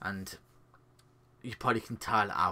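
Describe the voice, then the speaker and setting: Over a silent background on a very clean recording, a man speaks in a bright, sharp tone. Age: 20s. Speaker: YouTuber. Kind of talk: personal testimony. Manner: halting.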